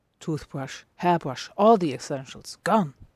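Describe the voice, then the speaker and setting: A woman speaking at a fairly slow pace, on a very clean recording with a silent background. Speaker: podfic reader and writer. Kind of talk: dramatic fiction reading.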